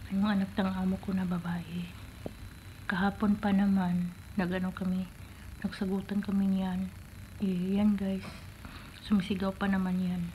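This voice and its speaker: A soft-spoken, somewhat breathy woman at medium pitch, with a dark, mellow tone, monotone, flat intonation, a moderate pace and long, frequent pauses. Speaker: domestic helper vlogger. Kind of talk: casual vlog. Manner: soft-spoken, quiet.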